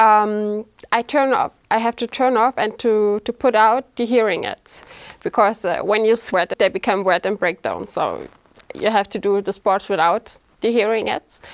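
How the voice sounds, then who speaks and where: In a dry, close recording with no echo, a woman with a fairly high pitch speaks at a moderate pace and with fairly even intonation. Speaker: implant patient, aerobics instructor. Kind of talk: testimony. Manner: halting, many fillers.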